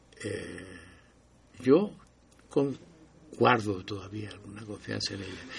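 At a very slow pace, a man with a fairly low pitch and ordinary pitch variation speaks with long, frequent pauses. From Chile. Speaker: historian of public health. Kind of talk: casual chat.

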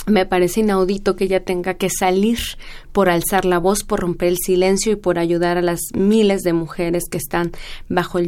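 A woman's medium-pitched voice has a dark, mellow tone, moving at a moderate pace with fairly even intonation. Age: 30s. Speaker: law researcher and bioethicist. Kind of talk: radio interview.

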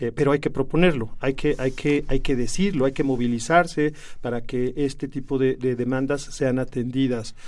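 A man at medium pitch talks at a moderate pace with fairly even intonation and hardly any pauses. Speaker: left-wing political activist. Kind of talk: radio interview. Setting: studio. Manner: hesitant, many fillers.

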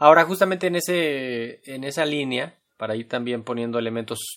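In a normal speaking voice, a man talks at a moderate pace with medium pitch and lively intonation. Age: young. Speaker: radio host. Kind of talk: interview.

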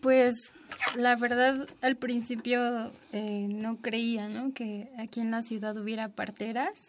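A woman speaks very slowly in a fairly high, flat monotone. Noticeable background noise runs underneath. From Mexico City. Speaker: apprentice midwife. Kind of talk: radio interview.

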